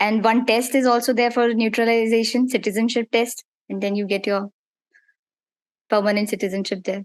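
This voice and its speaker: A woman talks at a fairly quick pace. Her pitch is fairly high, and her intonation is monotone and flat. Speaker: dentist. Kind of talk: interview. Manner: halting.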